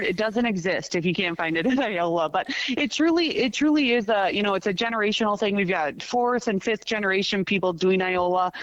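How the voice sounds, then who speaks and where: The voice, with an American accent, moves at a fairly quick pace with hardly any pauses. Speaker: car show organizer. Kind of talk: podcast interview. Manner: fast.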